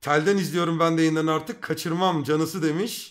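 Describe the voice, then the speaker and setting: A man with a fairly high pitch speaks in an animated tone against a quiet background. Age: 30s. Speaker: streamer. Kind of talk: casual chat. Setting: live stream. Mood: joking, teasing. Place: home room. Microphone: studio mic.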